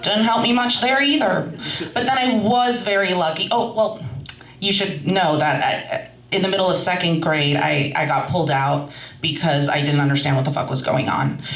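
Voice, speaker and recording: A woman talks at a moderate pace with a fairly low pitch, very wide pitch swings, and very even loudness. Noticeable background noise and audible room echo fill the recording. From US, Russian-speaking immigrant family. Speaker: storyteller. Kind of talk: stand-up storytelling. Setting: stage with audience.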